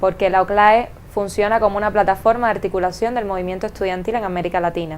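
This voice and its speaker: A woman with a Cuban accent speaks at a very fast pace, her medium-pitched voice keeping a fairly even intonation. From Cuba, Havana. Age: 20s. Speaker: student leader. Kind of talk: interview.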